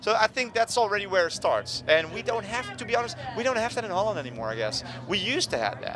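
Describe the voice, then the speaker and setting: Music plays behind a man who talks very fast with a Dutch accent. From Netherlands. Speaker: punk musician. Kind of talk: casual interview. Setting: music festival. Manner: animated.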